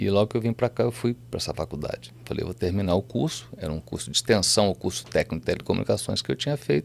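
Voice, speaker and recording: Talking at a very fast pace with hardly any pauses, a man with a fairly low pitch and vocal fry swings very widely in pitch. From southern Minas Gerais, Brazil. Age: 60s. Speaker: music producer and businessman. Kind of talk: podcast interview.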